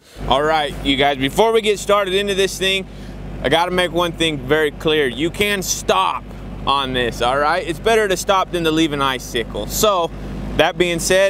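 A man talks at a moderate pace with ordinary pitch variation, in a dry recording with no echo and noticeable background noise. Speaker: welding instructor. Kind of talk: tutorial. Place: open country.

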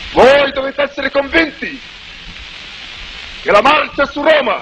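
A man's extremely high-pitched, raised and projected voice, monotone and flat, at a fairly slow pace over light background noise. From Italy. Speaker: political leader giving a public speech. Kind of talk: political speech to a crowd. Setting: old newsreel recording. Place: street. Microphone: podium.

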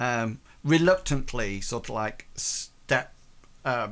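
At a slow pace, a man speaks with medium pitch, ordinary pitch variation and a fairly bright tone.

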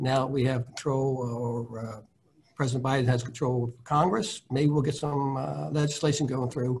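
A man speaks in a somewhat breathy way. His pitch varies in an ordinary way. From Delaware, near New Castle; Delaware. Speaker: high school science teacher. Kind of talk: panel discussion. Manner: hesitant, with repeated words. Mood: hopeful, relaxed. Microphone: video call.

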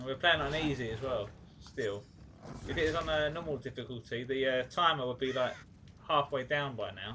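Talking at a fairly quick pace, a man uses an ordinary speaking voice of medium pitch and ordinary pitch variation. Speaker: gaming YouTuber. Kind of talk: video game playthrough commentary. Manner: casual, chatty, rambling.

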